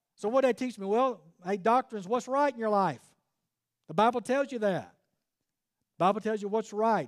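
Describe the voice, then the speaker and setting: In a Southern US accent, the speaker moves at a fairly quick pace. The tone is animated, with ordinary pitch variation. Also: man. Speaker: preacher. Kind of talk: fiery sermon to a men's gathering, preacher in full flow with call-and-response. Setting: church event with live audience.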